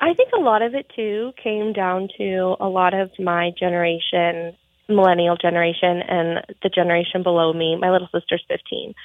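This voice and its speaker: A woman speaks in a plain, everyday voice with an American accent and a medium pitch. Her pace is moderate, her intonation fairly even, and she hardly pauses at all. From Montana. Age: 20s. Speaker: pageant titleholder. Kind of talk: radio interview.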